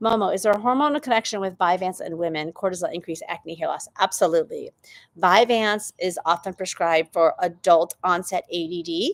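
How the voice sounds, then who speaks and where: A woman with an unremarkable speaking voice at a moderate pace, ordinary pitch variation, and a dry, close sound with no echo on a very clean recording with a silent background. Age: 50s. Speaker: doctor hosting a hormone health Q&A. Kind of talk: live Q&A answering viewer comments. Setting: livestream on YouTube and TikTok. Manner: conversational with frequent fillers.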